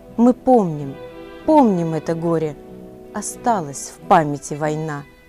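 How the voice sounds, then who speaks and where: A woman speaks very slowly, her fairly low voice rising and falling with lively intonation. Music plays in the background. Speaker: TV presenter. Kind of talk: poetry reading.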